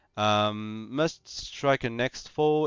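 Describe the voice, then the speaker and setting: A man speaks at a medium pitch with a non-native accent. His pitch variation is ordinary. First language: not English. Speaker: gaming YouTuber. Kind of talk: casual commentary. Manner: halting, many fillers and repetitions.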